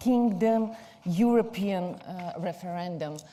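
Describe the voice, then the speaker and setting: A woman in a Bulgarian accent, somewhat breathy with a dark, mellow tone, at a very slow pace with ordinary pitch variation and audible room echo. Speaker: PR agency executive. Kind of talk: conference talk.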